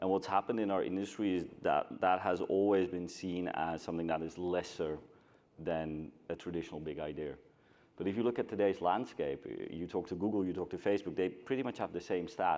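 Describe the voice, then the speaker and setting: A fairly quick pace, ordinary pitch variation and a Scandinavian accent against a quiet background. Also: man, very deep, low pitch for a man. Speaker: agency co-founder, panelist. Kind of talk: panel discussion.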